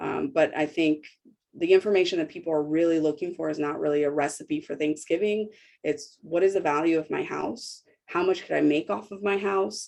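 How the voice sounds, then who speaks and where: A woman with a fairly low pitch speaks in an ordinary speaking voice. Her pace is fairly quick, and her pitch varies in an ordinary way. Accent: American. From US Midwest, Cincinnati, Ohio. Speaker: real estate agent. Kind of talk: presentation. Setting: video call.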